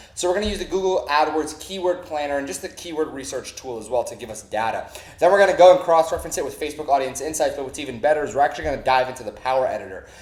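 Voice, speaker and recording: Energetic and very fast, a man with a fairly high pitch talks with hardly any pauses, lively intonation and big swings in loudness over noticeable background noise. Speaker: online marketing trainer. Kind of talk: tutorial.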